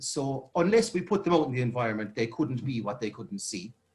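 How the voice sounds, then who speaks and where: Somewhat breathy and lively in intonation, a man talks at a medium pitch and a fairly quick pace. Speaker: youth worker. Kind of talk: presentation. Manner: fast.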